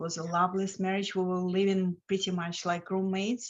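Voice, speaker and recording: A woman speaks at a medium pitch with a Lithuanian accent. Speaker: financial coach. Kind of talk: interview.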